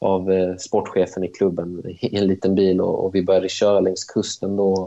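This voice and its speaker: A man's very deep, low voice, dark and mellow in tone, at a moderate pace with monotone, flat intonation against a quiet background. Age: 20s. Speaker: professional footballer. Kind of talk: interview.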